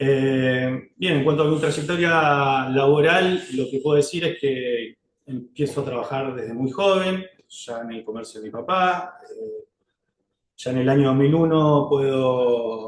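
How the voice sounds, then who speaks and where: A man at a fairly high pitch speaks very slowly, his loudness swinging widely. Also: ordinary pitch variation. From Argentina, Río Negro (General Roca). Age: 40s. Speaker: lawyer applying for judgeship. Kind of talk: job interview presentation. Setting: formal interview panel. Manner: hesitant, many filler sounds.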